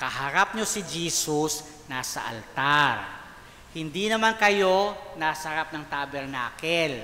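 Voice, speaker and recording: Noticeable background noise is present throughout. The words come very slowly. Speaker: priest leading liturgical formation. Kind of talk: lecture. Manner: loud; animated.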